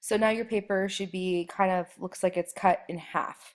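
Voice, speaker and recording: A woman speaks at a medium pitch and a fairly slow pace in an unremarkable speaking voice. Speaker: art teacher. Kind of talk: tutorial.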